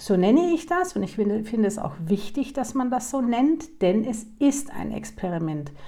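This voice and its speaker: A woman's fairly high voice with a dark, mellow tone and vocal fry, at a moderate pace with hardly any pauses and very wide pitch swings. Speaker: podcast host, human design coach. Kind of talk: personal monologue.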